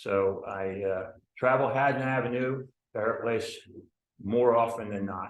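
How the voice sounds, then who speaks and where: Speaking at a fairly slow pace with long, frequent pauses, a man with an American accent keeps a medium pitch and fairly even intonation amid audible room echo. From US Northeast, New Jersey. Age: 70s. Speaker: resident speaking at public comment. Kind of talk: public comment at town meeting. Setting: municipal commissioners meeting. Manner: halting, with fillers and repeats.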